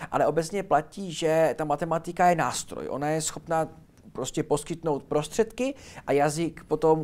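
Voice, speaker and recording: Fairly high male voice, very clean recording, silent background. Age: young. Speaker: linguist and teacher. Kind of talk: interview. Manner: fast; energetic.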